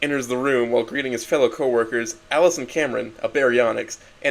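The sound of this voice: This is an unforced reading voice. It reads naturally, without strain.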